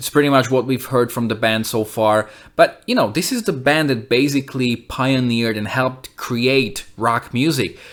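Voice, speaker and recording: Using an unremarkable speaking voice, a man of medium pitch talks at a moderate pace with fairly even intonation and hardly any pauses. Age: 30s. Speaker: music reviewer and musician. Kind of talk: album review monologue; channel outro.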